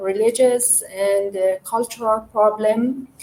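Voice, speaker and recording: Very slowly and with fairly even intonation, a woman with a Persian accent speaks at a fairly high pitch. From Iran, Shiraz. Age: 30s. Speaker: migrant. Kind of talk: personal testimony. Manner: halting.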